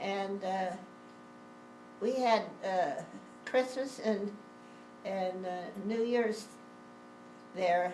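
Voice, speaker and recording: A woman speaks at a very slow pace with ordinary pitch variation. Music plays in the background. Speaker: grandmother. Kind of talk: family storytelling interview. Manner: hesitant, rambling.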